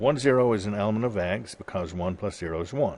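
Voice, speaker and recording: A man talks with lively intonation. His pace is moderate. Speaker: professor. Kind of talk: lecture. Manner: halting, many fillers.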